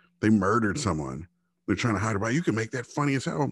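A man speaks with a dry, close sound and no echo. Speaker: podcast co-host. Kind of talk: casual chat. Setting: studio recording on camera. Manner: monotone.

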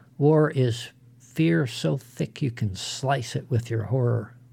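A man's medium-pitched, dark, mellow and somewhat breathy voice at a very slow pace with ordinary pitch variation. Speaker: podcast host. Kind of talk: eulogy tribute, solemn scripted narration. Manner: formal, reverent.

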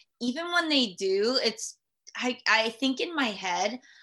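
A woman's high-pitched voice is raised and projected, bright and sharp in tone, with very wide pitch swings. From Guam. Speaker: elementary school teacher. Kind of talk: casual chat.

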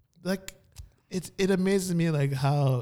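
A man in a Miami accent. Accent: Miami American English. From Miami, Florida. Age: young. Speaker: podcast co-host. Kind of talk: casual chat. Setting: studio.

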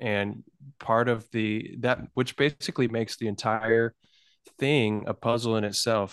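Recorded with a dry, close sound with no echo against a quiet background, a normal speaking voice talks at a fairly slow pace. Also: man, medium pitch for a man. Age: 30s. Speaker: musician. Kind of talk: casual chat.

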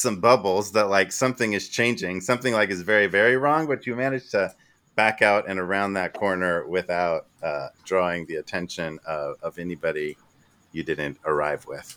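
The voice belongs to a man with a fairly low pitch. His tone is bright and sharp.

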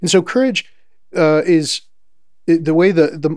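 A man is speaking. He goes at a fairly quick pace. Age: 40s. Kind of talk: interview. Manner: halting, many repetitions and fillers.

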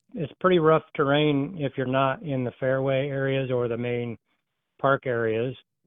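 With an American accent, a man talks at a fairly slow pace and fairly high pitch for a man, his intonation fairly even, in an ordinary speaking voice. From Iowa. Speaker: caller. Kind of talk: casual phone chat. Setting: phone call, outdoors on a service call.

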